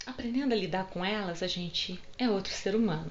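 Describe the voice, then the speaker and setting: A woman with a medium pitch speaks at a moderate pace with lively intonation, amid audible room echo and noticeable background noise. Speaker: holistic psychotherapist. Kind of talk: casual vlog book recommendations. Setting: home video recorded on phone. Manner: animated. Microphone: phone mic.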